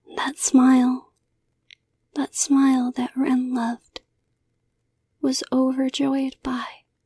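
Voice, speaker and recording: Very slow speech with long, frequent pauses. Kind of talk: horror story narration. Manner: soft-spoken, intimate.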